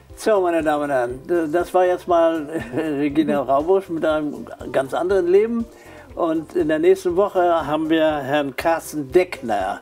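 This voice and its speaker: Over faint background music, a man talks at a fairly slow pace in a fairly high pitch with ordinary pitch variation. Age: 70s. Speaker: talk show host. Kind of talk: interview; show outro. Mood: relaxed, friendly. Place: studio. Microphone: lapel.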